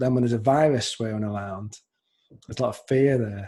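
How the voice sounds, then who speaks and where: A man's somewhat breathy voice of medium pitch, dark and mellow in tone, with a slight Scouse accent, ordinary pitch variation and a fairly quick pace. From Liverpool, England. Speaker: podcast host. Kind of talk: casual interview chat.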